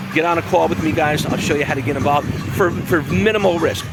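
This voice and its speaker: Over music in the background, a man talks at a very fast pace in an animated tone. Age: 50s. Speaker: online business coach. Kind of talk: sales pitch. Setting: outdoors.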